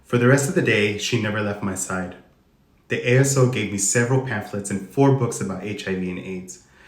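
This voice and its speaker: A man with an American accent and ordinary pitch variation, with audible room echo. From Arizona, US (Tucson). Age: 30s. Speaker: HIV advocate sharing personal story. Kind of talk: reading aloud a personal testimony. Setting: Instagram live stream.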